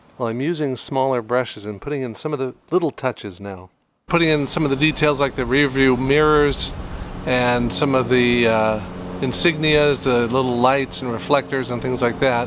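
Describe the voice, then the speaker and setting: Speaking at a moderate pace with an American accent, a man uses an ordinary speaking voice of medium pitch and ordinary pitch variation. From US West Coast, Bay Area. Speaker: painter. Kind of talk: casual chat; tutorial.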